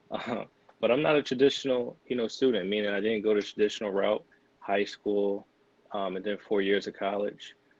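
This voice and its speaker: With a Philadelphia accent, a man talks at a fairly quick pace in a fairly low pitch with ordinary pitch variation. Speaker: physician assistant student, podcast co-host. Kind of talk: casual podcast chat.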